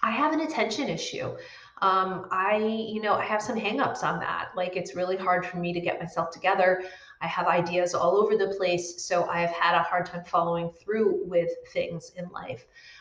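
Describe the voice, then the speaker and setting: A woman speaks at a moderate pace and medium pitch, with ordinary pitch variation. Noticeable background noise and audible room echo surround her. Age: 40s. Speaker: midlife coach and podcast host. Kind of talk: casual solo talk to camera. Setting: live video stream.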